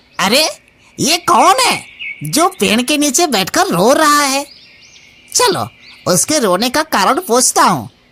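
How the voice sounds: A cartoonish character voice speaks with a high pitch at a fairly slow pace. Long pauses come often.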